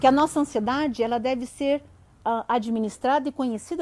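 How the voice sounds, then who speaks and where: Her pace is moderate. The woman's voice sits high in pitch. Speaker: psychologist. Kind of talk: live stream talk. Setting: online live stream.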